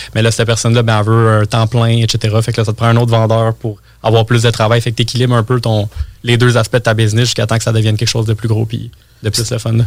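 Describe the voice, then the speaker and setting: Very fast, somewhat breathy delivery in a monotone, flat intonation. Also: man, medium pitch for a man. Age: 20s. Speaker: entrepreneur and marketing guest. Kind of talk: casual interview chat.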